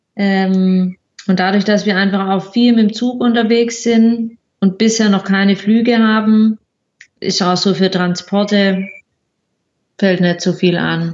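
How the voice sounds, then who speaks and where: A woman talks very slowly, with long, frequent pauses. Her delivery is monotone and flat, at very even loudness. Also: medium pitch for a woman. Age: 20s. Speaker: occupational therapist and traveller. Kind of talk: casual interview.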